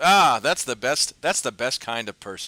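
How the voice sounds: Putting on a hoarse character voice, a man talks at a moderate pace in a very clean recording with a silent background.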